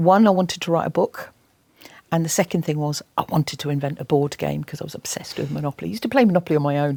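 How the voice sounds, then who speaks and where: Speaking with an English accent, a woman has a very deep, low pitch, a dark, mellow tone, fairly even intonation, and a dry, close sound with no echo. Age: 60s. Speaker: environmental campaigner and TV presenter. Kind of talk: interview. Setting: college interview with students. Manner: halting.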